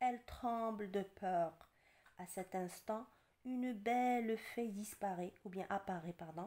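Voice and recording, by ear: Natural-voiced reading aloud, pitch varying in an ordinary way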